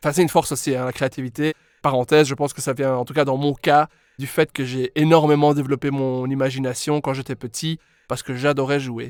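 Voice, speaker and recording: Talking fairly quickly in a monotone, flat intonation, a man with a fairly high pitch is heard on a very clean recording with a silent background. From Belgium, Brussels (Molenbeek). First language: English (speaking French). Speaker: English pronunciation coach, former speech therapist. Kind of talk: podcast interview.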